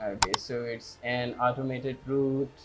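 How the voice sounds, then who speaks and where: Over noticeable background noise, a man with a non-native accent speaks very slowly at medium pitch in a monotone, flat intonation. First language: not English. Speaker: tech tutorial youtuber. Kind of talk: tutorial. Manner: halting.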